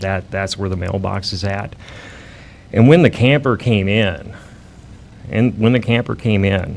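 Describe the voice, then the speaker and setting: Against noticeable background noise, a man with a fairly low pitch speaks at a fairly slow pace with fairly even intonation. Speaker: mail carrier bitten by a dog. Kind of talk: testimony at city council meeting. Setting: city council meeting.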